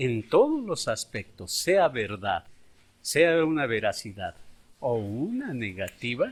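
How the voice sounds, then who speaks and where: A man's somewhat breathy voice at a very slow pace, on a very clean recording with a silent background. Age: 60s. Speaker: schoolteacher. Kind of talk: interview testimony.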